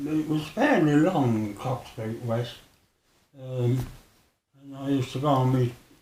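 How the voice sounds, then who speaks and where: Somewhat breathy and very slow, a man speaks with a Birmingham accent. His pitch is medium and his intonation fairly even. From Birmingham, England. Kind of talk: interview answer.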